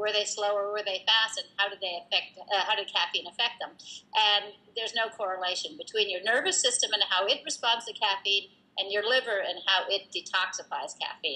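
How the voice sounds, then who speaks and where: Her tone is bright and sharp. A woman at a medium pitch talks at a fairly quick pace with ordinary pitch variation. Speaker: herbal beverage company founder. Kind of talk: interview. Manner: fast.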